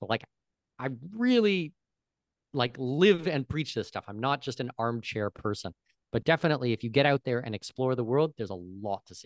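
Fairly quick and lively in intonation, a man with a Canadian accent talks in an unremarkable speaking voice at medium pitch, with big swings in loudness. The sound is dry and close with no echo, over a quiet background. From Canada, southwestern Ontario. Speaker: expat consultant. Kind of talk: interview conversation.

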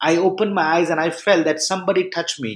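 A man at a fairly quick pace on a very clean recording with a silent background. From India, near Mumbai. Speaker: pastor. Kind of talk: testimony.

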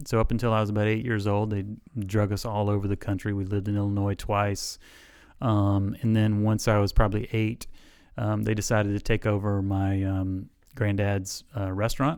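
A man with a Southern US accent speaks at a moderate pace in a fairly low pitch, his intonation monotone and flat. The recording is very clean, with a silent background. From US South (South Alabama). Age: 40s. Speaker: chiropractor. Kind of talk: interview.

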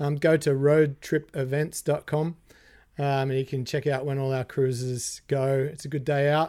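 A man with an Australian accent speaks at a moderate pace in a fairly high pitch, his dark, mellow tone held in a monotone, flat intonation on a very clean recording with a silent background. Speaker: guitarist. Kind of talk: casual chat.

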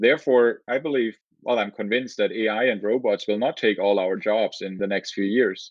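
This man speaks with a German accent at a moderate pace, his pitch medium and its variation ordinary. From southern Germany. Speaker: engineering professor. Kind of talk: interview.

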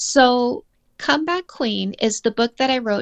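A woman with a Canadian accent has an unremarkable speaking voice at a fairly high pitch and uses lively intonation, with a dry, close sound with no echo and a quiet background. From Canada. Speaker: dating coach and author. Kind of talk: casual interview chat.

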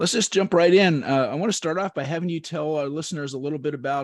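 Speaking at a very fast pace, a man with a fairly high pitch and ordinary pitch variation sounds dry and close with no echo. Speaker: podcast host. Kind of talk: interview. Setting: recorded intro.

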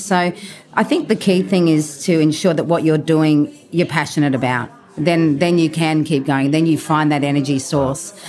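With music in the background, a woman with an Australian accent speaks at a fairly low pitch and very even loudness. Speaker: truffle and caviar supplier. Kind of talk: casual interview. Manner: animated; halting.

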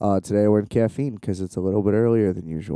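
A man speaks at a fairly low pitch with a dark, mellow tone in a dry, close sound with no echo. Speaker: podcast host. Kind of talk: casual solo monologue. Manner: animated; hesitant, many fillers.

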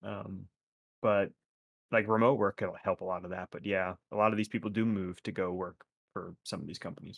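A speaker with an American accent talks at a fairly quick pace in a normal speaking voice. The background is quiet and the sound dry and close, with no echo. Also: man, fairly low pitch for a man, fairly even intonation. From North Carolina, US. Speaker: podcast co-host. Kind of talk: casual chat.

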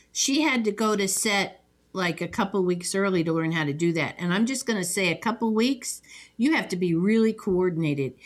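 A woman talks at a fairly quick pace in an unremarkable speaking voice, medium in pitch. Her intonation is lively and her loudness very even. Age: 60s. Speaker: podcast host. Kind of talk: casual chat. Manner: chatty, jokey.

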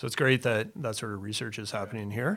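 With a Canadian accent, a man uses an ordinary speaking voice. His pitch is medium, with ordinary pitch variation. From Ontario, Canada. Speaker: real estate developer. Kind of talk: interview.

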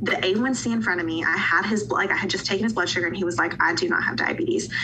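Heard with noticeable background noise and audible room echo, the speaker has an American accent. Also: woman. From Western North Carolina (Asheville). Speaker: pharmacist. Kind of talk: casual interview.

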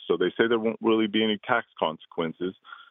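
Here is a man with an ordinary speaking voice, pitched at a medium level. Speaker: caller. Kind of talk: phone-in question to radio show. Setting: phone call.

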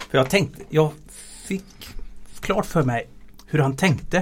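At a very slow pace, a man speaks in a somewhat breathy voice with a fairly high pitch. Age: 50s. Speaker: transport efficiency engineer. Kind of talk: interview. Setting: studio.

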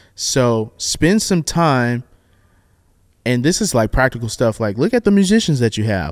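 Recorded very cleanly against a silent background, a man speaks at a moderate pace with a medium pitch and lively intonation. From US South. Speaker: worship leader. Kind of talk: casual chat. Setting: studio. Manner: animated.

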